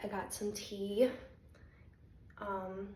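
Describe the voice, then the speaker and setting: The intonation is monotone and flat. There's audible room echo and noticeable background noise. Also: woman. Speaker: spiritual content creator (remote viewer, psychic). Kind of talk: casual vlog monologue. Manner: hesitant, many ums.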